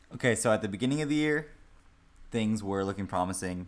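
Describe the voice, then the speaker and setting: A man is heard on a very clean recording where the background is silent. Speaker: hockey podcast co-host. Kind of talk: casual chat. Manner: soft-spoken.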